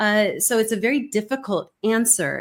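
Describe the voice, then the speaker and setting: A woman speaks with a Californian accent. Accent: General American (Californian). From California, US. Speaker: communication expert, keynote speaker. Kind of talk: interview conversation.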